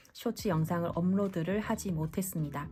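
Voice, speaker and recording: A woman speaks in a calm tone, her voice dark, mellow and somewhat breathy. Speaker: tarot reader. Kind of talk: tarot reading talk to camera. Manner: calm, clear.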